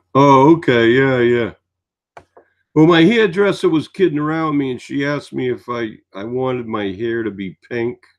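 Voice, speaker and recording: A man speaks with an American accent at a medium pitch. His intonation is lively and his pace moderate. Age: 60s. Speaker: live-stream host. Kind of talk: casual chat.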